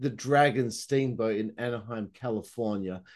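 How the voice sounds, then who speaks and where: A man is speaking. The background is quiet. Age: 30s. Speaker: podcast host. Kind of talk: interview. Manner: animated.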